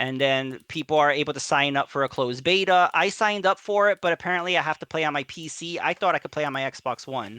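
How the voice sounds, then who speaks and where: The speech races at a very fast pace in a New York accent, with hardly any pauses. The recording is very clean with a silent background. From New York City area. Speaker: gamer streamer. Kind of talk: casual chat.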